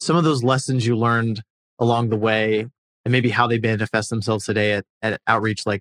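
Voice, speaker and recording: A man with an ordinary speaking voice talks at a medium pitch and a fairly quick pace. His intonation stays fairly even, and the sound is dry and close with no echo. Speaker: interviewer. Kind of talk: interview conversation.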